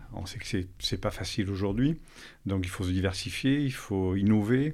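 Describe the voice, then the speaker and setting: The speech moves at a fairly slow pace. Its pitch shows ordinary variation. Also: man. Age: 50s. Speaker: business founder. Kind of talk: interview. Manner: hesitant, many fillers.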